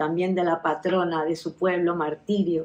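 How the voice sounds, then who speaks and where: A woman's fairly low voice at a moderate pace, in a flat monotone. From Melilla, Spain. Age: 60s. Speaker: oral history interviewee. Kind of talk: life story interview. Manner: halting, with many fillers.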